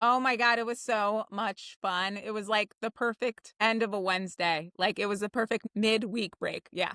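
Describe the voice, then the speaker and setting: A woman's fairly high, bright, sharp voice, animated in tone, at a moderate pace with hardly any pauses, dry and close with no echo, in a very clean recording with a silent background. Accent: New Jersey. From New Jersey, Jersey Shore. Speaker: theater writer and director. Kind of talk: casual chat.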